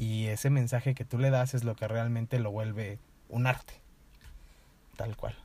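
At a fairly slow pace and medium pitch, a man speaks in a somewhat breathy voice with a dark, mellow tone, monotone, flat intonation, and long, frequent pauses. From Mexico, Toluca. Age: 20s. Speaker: writer. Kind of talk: casual interview chat. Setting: in person.

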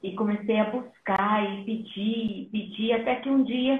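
A woman's fairly high-pitched voice, an unremarkable speaking voice with fairly even intonation. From Brazil, raised in São Paulo (born in Minas Gerais). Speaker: missionary and nurse. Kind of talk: testimony in a live interview.

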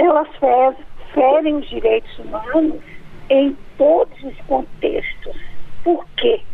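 The speech moves at a very slow pace with very wide pitch swings. Background noise is noticeable. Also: woman. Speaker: sociology professor. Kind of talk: expert interview. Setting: phone call.

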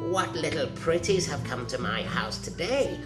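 Loud music plays behind a man doing a shrill, put-on character voice at a fairly high pitch and a moderate pace. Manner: sweet, creepy.

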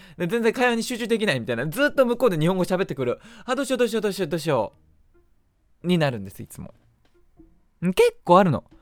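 Talking at a very fast pace yet with long, frequent pauses, a man with a high pitch makes very wide pitch swings. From Japan. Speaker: podcast host. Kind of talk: casual solo talk.

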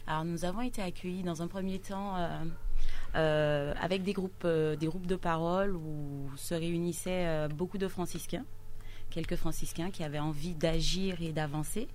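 Speech comes at a fairly slow pace with fairly even intonation. Room echo is audible. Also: woman, fairly low pitch for a woman. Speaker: local political activist. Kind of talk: radio interview.

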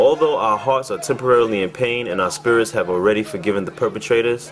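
Fairly quick speech from a man of medium pitch, music in the background. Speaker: activist. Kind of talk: rally speech, personal testimony. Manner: earnest, determined.

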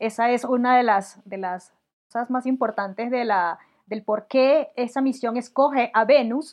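The speaker talks at a fairly slow pace in a Venezuelan accent. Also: woman. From Venezuela, Barinas. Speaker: mathematics professor, physicist. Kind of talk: casual science chat.

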